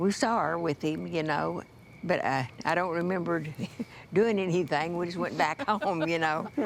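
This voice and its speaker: With an American accent, a woman talks at a fairly low pitch with ordinary pitch variation and some vocal fry. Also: moderate pace. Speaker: Chickasaw elder telling life memories. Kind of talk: interview answer, recalling childhood memories.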